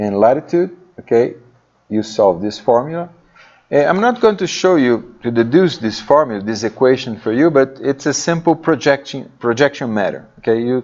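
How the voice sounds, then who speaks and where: A man speaks in a plain, everyday voice at a moderate pace. His medium pitch moves with lively intonation. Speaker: university lecturer. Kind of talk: lecture.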